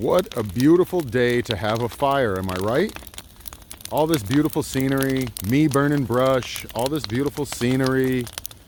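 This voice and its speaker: Over light background noise, a man speaks at a moderate pace and medium pitch, the sound dry with no echo. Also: ordinary pitch variation. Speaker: homestead vlogger. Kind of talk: casual vlog. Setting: outdoors. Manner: loud; animated. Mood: cheerful, relaxed. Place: open country. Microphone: phone near.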